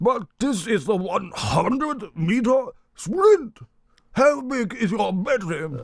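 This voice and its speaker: This put-on character voice moves at a fairly slow pace with very wide pitch swings. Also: man, high pitch for a man. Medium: read story. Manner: pompous, blustering.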